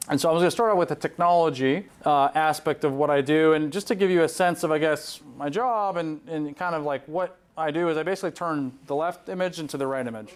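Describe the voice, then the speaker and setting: Using a Southern California accent, a man races along at a very fast pace with hardly any pauses, his fairly high pitch showing ordinary variation. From Southern California (born in Poland). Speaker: neurosurgeon. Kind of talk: conference presentation.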